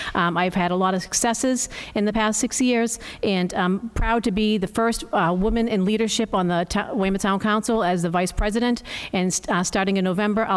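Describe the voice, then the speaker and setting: A woman speaks at a medium pitch, her intonation fairly even. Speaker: town council candidate. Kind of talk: candidate statement at public forum. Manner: fast.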